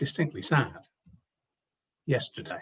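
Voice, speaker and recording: A man talks in a somewhat breathy voice. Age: 60s. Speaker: pastor. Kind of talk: sermon.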